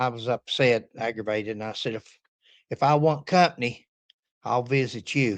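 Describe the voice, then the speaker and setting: A man with an Appalachian accent, medium pitch, ordinary pitch variation and a moderate pace. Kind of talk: casual talk to camera.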